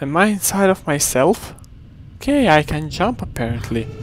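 Against noticeable background noise, a man with a high voice talks at a fairly slow pace, his pitch swinging very widely. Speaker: gaming video creator and poet. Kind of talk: gameplay commentary. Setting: home recording with headset. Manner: halting.

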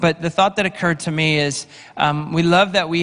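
Fairly even intonation and a fairly quick pace from a man. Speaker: pastor introducing a guest speaker. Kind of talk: announcements and introduction to a congregation. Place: church. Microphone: handheld.

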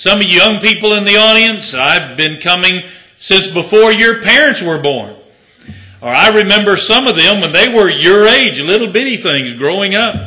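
A man's raised, projected voice at a moderate pace, with lively intonation. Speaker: visiting preacher. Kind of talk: sermon. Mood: warm, joking. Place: church. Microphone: podium.

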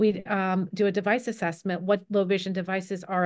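A woman speaks with an American accent. Her pace is moderate against a quiet background. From New Jersey (Cherry Hill); New Jersey. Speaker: low vision optometrist. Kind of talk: online panel presentation. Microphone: video call.

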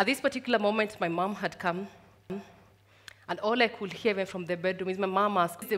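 The speaker is a woman. She talks at a moderate pace with ordinary pitch variation. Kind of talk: personal storytelling talk. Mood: reflective, gently smiling. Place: stage. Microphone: headset.

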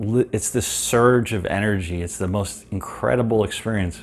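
A man speaks at a fairly low pitch with ordinary pitch variation. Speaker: meditation teacher. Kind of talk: guided meditation, calm instructional talk. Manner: conversational, filler words like uh and um. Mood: calm, enthusiastic. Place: home room. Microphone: webcam.

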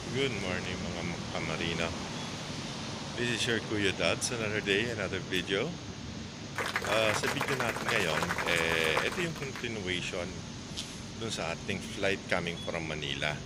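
Against loud background noise, a man talks with ordinary pitch variation and long, frequent pauses. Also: moderate pace. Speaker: travel vlogger. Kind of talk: casual vlog chat. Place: street. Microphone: earbuds.

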